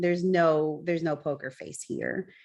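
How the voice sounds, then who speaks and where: In a quiet background, a woman with an American accent talks at a moderate pace. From US South. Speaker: baker and business owner. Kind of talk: casual chat.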